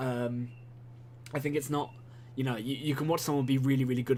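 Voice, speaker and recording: A man speaks at a very fast pace with fairly even intonation. His voice is somewhat breathy, and room echo is audible. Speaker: gaming video commentator. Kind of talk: gameplay commentary monologue. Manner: halting, many fillers and repetitions.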